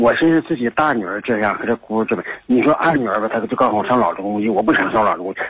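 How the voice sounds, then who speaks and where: Noticeable background noise fills the recording. The talking is very fast. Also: man. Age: 60s. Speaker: caller seeking advice. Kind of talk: radio call-in conversation. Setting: phone call. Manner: halting, many fillers.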